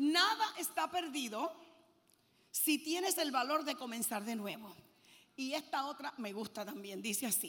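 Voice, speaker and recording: Her pitch is high, swinging very widely as she speaks. The woman's tone is animated and her pace fairly slow. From Puerto Rico. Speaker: preacher. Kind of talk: sermon. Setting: stage with audience.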